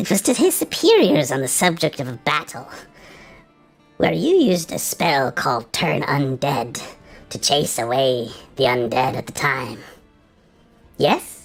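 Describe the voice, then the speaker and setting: At a moderate pace and a low-to-middle pitch, the put-on character voice comes with long, frequent pauses over faint music in the background. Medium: actual play.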